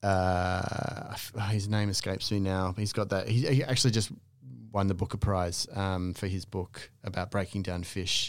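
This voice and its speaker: A man's fairly low voice with an Australian accent and fairly even intonation, on a very clean recording with a silent background. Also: moderate pace. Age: 40s. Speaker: coffee specialist. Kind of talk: casual chat.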